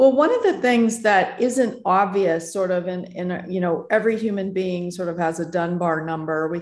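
This woman has an unremarkable speaking voice. Her pitch is medium, with ordinary variation. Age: 50s. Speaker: tech founder and author. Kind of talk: interview.

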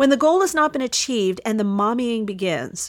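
Against a silent background in a very clean recording, a woman's fairly high voice makes very wide pitch swings. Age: 50s. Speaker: podcast host, former opera singer and voice teacher. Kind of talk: solo monologue podcast.

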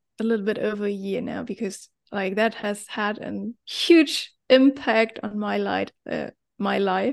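A woman speaks with a German accent in a quiet background. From Germany. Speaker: life coach. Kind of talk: casual chat.

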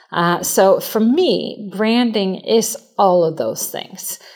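A woman speaks with a Swedish accent. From Sweden. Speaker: branding agency CEO. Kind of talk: interview.

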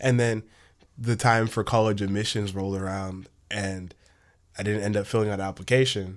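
Over a silent background in a very clean recording, a man speaks at a moderate pace with a fairly low pitch and monotone, flat intonation. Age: young. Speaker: recent high school graduate, co-host. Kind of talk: casual chat. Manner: halting.

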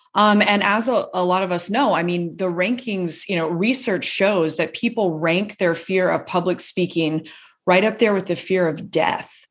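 Speaking in an unremarkable speaking voice with an American accent, a woman keeps a medium pitch, ordinary pitch variation and a moderate pace, with hardly any pauses. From US South, Gainesville, Florida. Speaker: author and public speaking coach. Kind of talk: casual interview.

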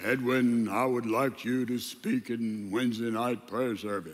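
A man's resonant put-on character voice at medium pitch, moderate in pace with fairly even intonation. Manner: pious, solemn, resonant.

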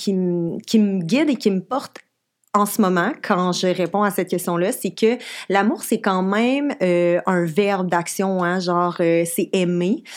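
Over a silent background in a very clean recording, a woman speaks at a fairly slow pace at medium pitch with ordinary pitch variation. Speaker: podcast co-host. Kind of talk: casual chat. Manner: halting.

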